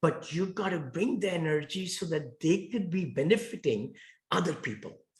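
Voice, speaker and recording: A man speaks with a strong Indian accent at a high pitch. His intonation is lively. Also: moderate pace. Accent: thick Indian. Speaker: real estate investor. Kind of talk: interview.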